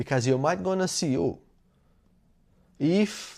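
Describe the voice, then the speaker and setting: A man with a Portuguese accent speaks at a fairly slow pace in a fairly high pitch, his intonation lively, on a very clean recording with a silent background. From Brazil. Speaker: self-improvement YouTuber. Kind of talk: motivational talk. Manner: halting, with self-corrections.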